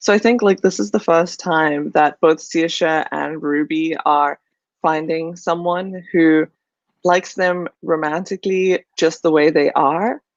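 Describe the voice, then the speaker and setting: Against a quiet background, the voice moves at a fairly slow pace with ordinary pitch variation, the sound dry and close with no echo. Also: woman. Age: 20s. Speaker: book discussion co-host. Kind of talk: casual book discussion. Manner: many fillers and hesitations.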